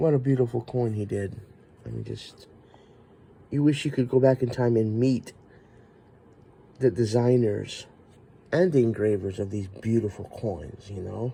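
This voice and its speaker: A man with a medium pitch and a dark, mellow, somewhat breathy tone speaks at a moderate pace with ordinary pitch variation and long, frequent pauses. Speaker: coin collector video host. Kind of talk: show-and-tell collection video. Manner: casual, halting.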